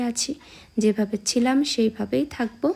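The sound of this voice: A woman speaks at a moderate pace. Her fairly high voice has vocal fry.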